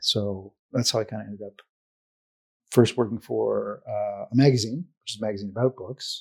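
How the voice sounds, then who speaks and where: A man's voice at a moderate pace, with big swings in loudness and a dry, close sound free of echo. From Canada. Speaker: advertising professor. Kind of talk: casual interview chat. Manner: halting, many fillers and repeats.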